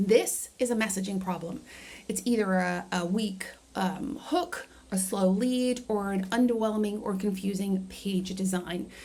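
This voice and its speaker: A woman speaks at a fairly slow pace and a medium pitch. Her intonation is fairly even, and there is audible room echo. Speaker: marketing coach. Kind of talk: tutorial. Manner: casual with fillers.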